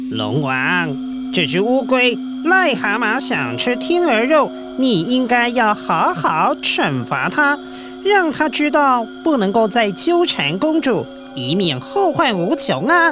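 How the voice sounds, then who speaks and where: A put-on character voice with a fairly high pitch speaks at a fairly slow pace. Loud music plays in the background. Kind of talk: children's radio drama. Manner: sly, wheedling, flattering.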